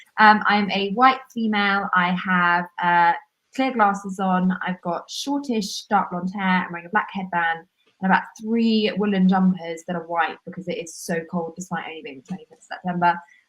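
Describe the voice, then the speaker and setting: A woman with a strong southern English accent, medium pitch, ordinary pitch variation, a moderate pace and big swings in loudness. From southern England. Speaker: podcast co-host. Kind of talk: live podcast chat. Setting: video call live stream, quiet corner of home.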